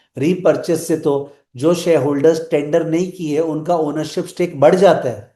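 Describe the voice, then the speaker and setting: A man speaks with a high pitch and a dark, mellow tone. There is audible room echo. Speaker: finance teacher. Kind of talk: lecture. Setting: live online class.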